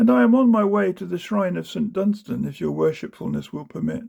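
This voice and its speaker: A man puts on a whiny character voice, pitched high and moving at a fairly quick pace. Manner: meek, wheedling.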